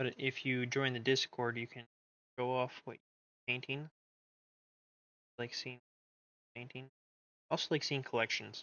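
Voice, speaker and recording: Soft-spoken and monotone, a man with a medium pitch talks flatly, leaving long, frequent pauses. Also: fairly slow pace. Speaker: miniature painting streamer. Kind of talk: casual chat. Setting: live stream.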